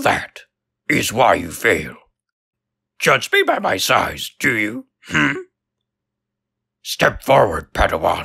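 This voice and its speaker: A man puts on a character voice at a medium pitch. He speaks very slowly, leaving long, frequent pauses. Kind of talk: character voice demo. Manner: inverted word order, slow.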